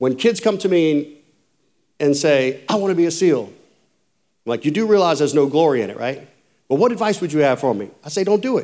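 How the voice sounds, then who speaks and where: Speaking at a fairly quick pace with a Louisiana accent, this voice swings very widely in pitch and breaks off in long, frequent pauses, all on a very clean recording with a silent background. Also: man, fairly high pitch for a man. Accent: southern US (Louisiana). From US South, rural south Louisiana. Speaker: former Navy SEAL, conference speaker. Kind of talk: motivational talk to a men's conference.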